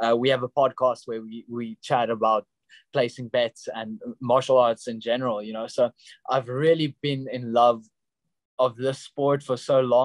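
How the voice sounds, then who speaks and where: A man talks at a medium pitch in a South African accent. His intonation is monotone and flat, his pace moderate, and the sound dry and close with no echo. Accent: Afrikaans South African English. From South Africa, Pretoria. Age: 20s. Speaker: professional MMA fighter. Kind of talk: interview.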